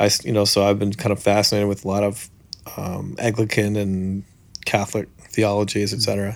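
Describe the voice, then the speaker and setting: Speaking at a fairly quick pace, a man with a Canadian accent has a fairly low pitch. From Canada. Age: 30s. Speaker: preacher and songwriter. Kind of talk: interview. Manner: animated.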